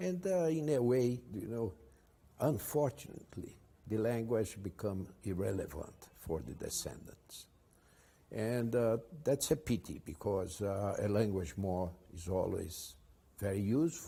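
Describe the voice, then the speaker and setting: With a Portuguese accent, a man of medium pitch talks at a fairly slow pace in a somewhat breathy, dark, mellow voice with lively intonation. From Brazil. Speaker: advertising executive. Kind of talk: interview. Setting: at his home. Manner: halting.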